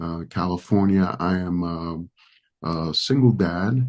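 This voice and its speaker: This man talks at a very slow pace in a very deep, low pitch. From Dominican Republic, raised in New York City. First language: Spanish. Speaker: pastor. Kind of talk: podcast interview.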